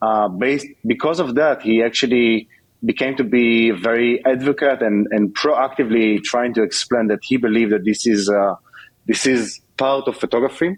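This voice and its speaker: At a moderate pace, a man speaks in a medium pitch with ordinary pitch variation. His loudness stays very even. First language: not English. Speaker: tech company executive. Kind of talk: podcast interview. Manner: halting, many fillers.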